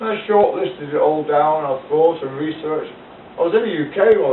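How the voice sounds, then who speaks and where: A man's moderate-paced speech is heard over noticeable background noise. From United Kingdom. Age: 60s. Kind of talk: casual talk to camera. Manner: rambling, hesitant.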